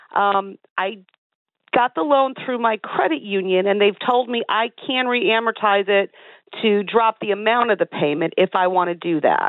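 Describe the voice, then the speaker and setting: At a medium pitch, a woman talks at a moderate pace with ordinary pitch variation. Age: 50s. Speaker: caller. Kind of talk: phone-in call. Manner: halting.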